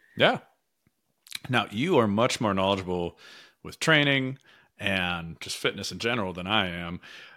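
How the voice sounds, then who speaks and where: Speaking with an American accent at a moderate pace, a man uses a fairly low pitch, a bright, sharp tone and ordinary pitch variation, leaving long, frequent pauses on a very clean recording with a silent background. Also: big swings in loudness. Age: 40s. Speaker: podcast host. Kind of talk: casual interview chat.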